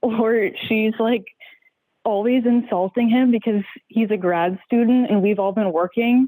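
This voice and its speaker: This woman has an unremarkable speaking voice, pitched fairly high. Her intonation stays fairly even. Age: 20s. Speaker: caller. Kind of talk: advice call on podcast.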